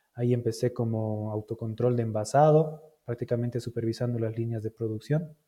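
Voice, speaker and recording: A somewhat breathy man, fairly even in intonation, with hardly any pauses. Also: medium pitch for a man, moderate pace. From Bolivia. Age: 30s. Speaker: logistics manager. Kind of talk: interview.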